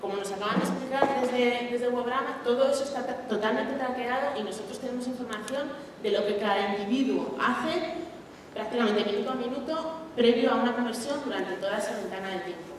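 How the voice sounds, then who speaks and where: Speaking at a fairly quick pace in a high voice, a woman is heard with strong room echo and light background noise. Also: ordinary pitch variation. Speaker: conference speaker. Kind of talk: lecture. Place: stage.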